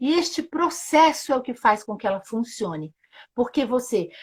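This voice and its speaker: A somewhat breathy voice with lively intonation. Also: woman. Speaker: sustainability journalist and Theory U facilitator. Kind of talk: live-stream interview explanation. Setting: live video stream.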